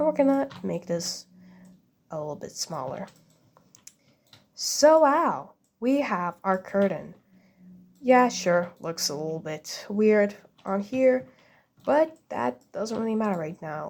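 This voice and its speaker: A woman with a non-native accent speaks at a medium pitch and a very slow pace, her pitch swinging very widely between long, frequent pauses. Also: big swings in loudness. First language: not English. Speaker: game builder making a tutorial. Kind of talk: tutorial. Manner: casual, hesitant with fillers.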